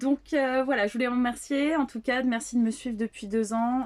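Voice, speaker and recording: Her voice is somewhat breathy. The woman keeps her intonation fairly even. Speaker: psychic medium / tarot channeler. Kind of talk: spiritual channeling reading to viewers. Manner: soft-spoken; hesitant, many fillers.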